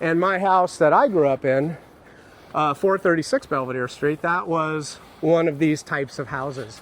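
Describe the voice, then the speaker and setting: With a West Coast accent, a man speaks in a high voice at a moderate pace over noticeable background noise. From San Francisco, California. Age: 50s. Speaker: YouTuber. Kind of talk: casual chat. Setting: outdoors.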